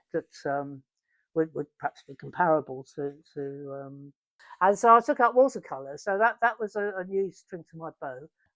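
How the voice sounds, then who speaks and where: A woman speaks at a moderate pace and fairly low pitch with very wide pitch swings and big shifts in loudness, in a dry, close sound with no echo. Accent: English. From England. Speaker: installation artist. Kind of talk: interview answer.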